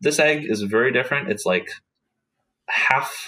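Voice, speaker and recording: A man with an American accent, lively intonation and a moderate pace. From Oklahoma, US. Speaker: biology student. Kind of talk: casual interview chat. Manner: halting, many fillers.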